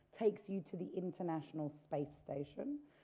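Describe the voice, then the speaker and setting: Loud and fairly low-pitched, a woman talks at a moderate pace with very wide pitch swings. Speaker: space tourism entrepreneur. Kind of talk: panel discussion. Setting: stage with audience.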